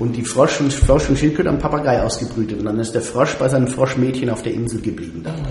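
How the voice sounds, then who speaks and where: Speech comes at a very fast pace with ordinary pitch variation over noticeable background noise. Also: man, medium pitch for a man. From Würzburg, raised in the US ages 5 to 14. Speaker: radio host. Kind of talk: casual chat.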